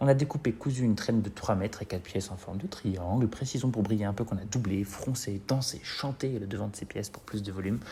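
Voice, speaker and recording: A man with a fairly low pitch talks at a fairly quick pace amid noticeable background noise. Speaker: drag queen. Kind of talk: humorous narration.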